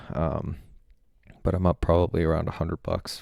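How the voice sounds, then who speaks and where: A quiet man's voice, very deep and low in pitch, with vocal fry, a dark, mellow tone and fairly even intonation, on a very clean recording with a silent background. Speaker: personal finance youtuber. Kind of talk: portfolio review vlog. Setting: hotel room. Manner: hesitant, many ums.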